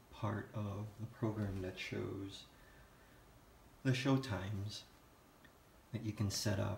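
In a room with audible echo and light background noise, a man talks very slowly with vocal fry, a fairly low pitch, fairly even intonation and long, frequent pauses. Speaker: home theater hobbyist. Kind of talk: casual software demo narration. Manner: lethargic. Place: home room. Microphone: phone near.

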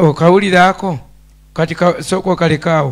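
A man speaks in a fairly high pitch. The background is quiet. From Uganda. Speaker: pastor. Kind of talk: Bible teaching in a question-and-answer show. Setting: studio. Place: studio. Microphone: handheld.

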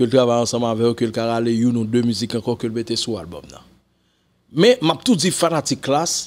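This man speaks in a Haitian accent with ordinary pitch variation. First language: Haitian Creole (speaking French). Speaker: music commentator. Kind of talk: casual commentary to camera. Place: home room. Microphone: studio mic.

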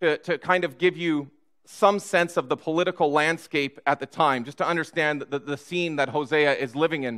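Against a quiet background, a man speaks at a moderate pace in a bright, sharp tone with ordinary pitch variation. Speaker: pastor. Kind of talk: sermon. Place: church.

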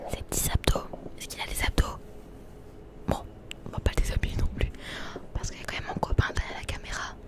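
Whispering, a woman speaks at a fairly quick pace. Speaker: content creator. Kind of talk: casual vlog chat. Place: shop. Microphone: handheld.

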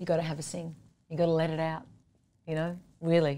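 Here a woman speaks with an Australian accent at a fairly quick pace. Her fairly low voice has a dark, mellow tone. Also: very clean recording, silent background. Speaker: singer-songwriter. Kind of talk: interview.

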